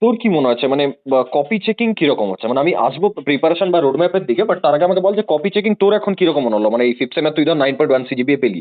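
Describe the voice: A man at a very fast pace, fairly high-pitched, with lively intonation and few pauses.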